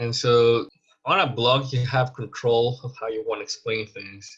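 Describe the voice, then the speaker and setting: A man speaks fairly slowly with a Spanish accent and a bright, sharp tone. His intonation stays fairly even over a quiet background. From Mexico. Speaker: scientist and teacher. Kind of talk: lecture.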